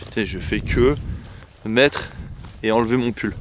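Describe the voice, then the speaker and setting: Noticeable background noise runs beneath a man talking at a mid-range pitch. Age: 30s. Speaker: YouTuber. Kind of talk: vlog monologue. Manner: casual.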